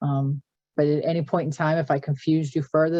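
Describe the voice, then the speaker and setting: With a Boston accent, a woman talks at a fairly quick pace in a very deep, low pitch with ordinary pitch variation. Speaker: government finance presenter. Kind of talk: webinar Q and A. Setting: video call webinar. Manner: a bit halting.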